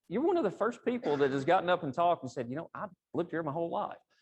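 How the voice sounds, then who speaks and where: A man speaks with an Appalachian accent. His pitch swings very widely against a quiet background. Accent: country Appalachian (self-described). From East Tennessee (Appalachia). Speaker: engineering executive, guest speaker. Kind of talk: professional talk to audience. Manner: casual, conversational.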